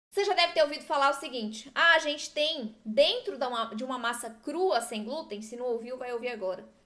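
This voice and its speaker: A woman speaks in an animated tone at a high pitch, with ordinary pitch variation and a bright, sharp tone. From southern Brazil. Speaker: gluten-free baking teacher. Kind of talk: live-stream tutorial.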